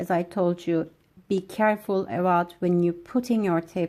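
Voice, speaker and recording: A woman speaks in a dark, mellow tone at a fairly low pitch, with a non-native accent. Her intonation is fairly even and her pace fairly slow. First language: not English. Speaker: nail technician. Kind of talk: tutorial. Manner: hesitant, frequent fillers.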